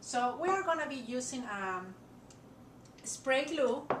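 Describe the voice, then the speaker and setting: A woman with a non-native accent speaks at a high pitch with lively intonation. Noticeable background noise and audible room echo come through. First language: not English. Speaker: crafter. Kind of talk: tutorial. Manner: hesitant, frequent fillers.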